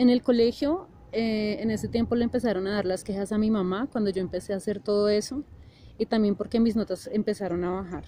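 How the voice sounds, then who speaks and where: Fairly high in pitch, a woman speaks at a fairly quick pace with ordinary pitch variation. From Colombia, Bogotá. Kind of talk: testimony. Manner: halting with frequent fillers.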